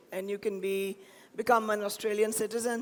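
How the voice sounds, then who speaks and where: A woman speaks at a moderate pace in a fairly high pitch. Noticeable background noise runs under her voice. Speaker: banker. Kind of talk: public talk.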